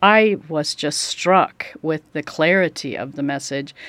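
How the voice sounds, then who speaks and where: Her American accent comes through in a plain, everyday voice. This woman's pitch is fairly low, with ordinary pitch variation. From Oregon, US. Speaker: ministry co-worker, pastor's wife. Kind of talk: interview. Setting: studio.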